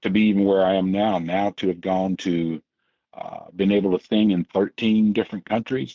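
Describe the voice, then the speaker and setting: This man has an unremarkable speaking voice at a fairly low pitch. His pitch varies in an ordinary way, and his pace is moderate. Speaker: bass vocalist, songwriter, engineer. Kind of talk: interview answer.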